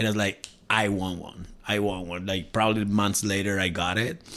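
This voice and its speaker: In a very clean recording with a silent background, a man with a Spanish accent speaks at a fairly low pitch. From Mexico, Cuernavaca. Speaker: tattoo artist. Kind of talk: casual chat.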